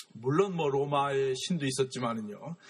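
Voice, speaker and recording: A man is speaking. His pace is very slow. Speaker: art history lecturer. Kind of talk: lecture. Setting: museum gallery. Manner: halting.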